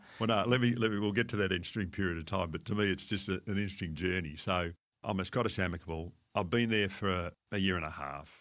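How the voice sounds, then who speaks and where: A man with an Australian accent and a very deep, low pitch talks very fast with ordinary pitch variation on a very clean recording with a silent background. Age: 60s. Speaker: fund manager. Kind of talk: podcast interview. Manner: conversational.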